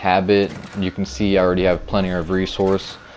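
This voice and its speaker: A man with a fairly low pitch and fairly even intonation talks at a moderate pace against noticeable background noise. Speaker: beginner gaming YouTuber. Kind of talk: video game commentary.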